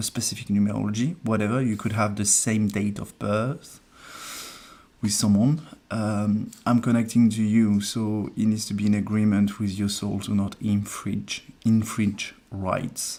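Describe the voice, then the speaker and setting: Speaking at a fairly slow pace, a man uses a fairly low, dark, mellow voice with monotone, flat intonation. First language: French. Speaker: numerologist. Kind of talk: live stream reading. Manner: hesitant, many fillers.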